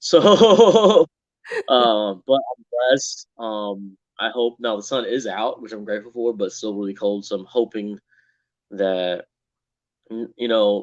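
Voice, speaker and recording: A man with a Southern US accent at a medium pitch, with big swings in loudness, ordinary pitch variation, a fairly slow pace and long, frequent pauses. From Texas. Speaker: co-host of a live stream, factory worker. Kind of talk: casual chat. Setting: live stream.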